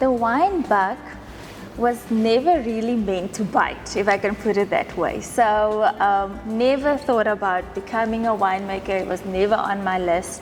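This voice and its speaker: A woman with a South African accent speaks at a fairly slow pace and a fairly high pitch. Her pitch varies in an ordinary way, with music in the background. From South Africa, Western Cape rural town. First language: Afrikaans. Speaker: winemaker. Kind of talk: casual interview over wine tasting.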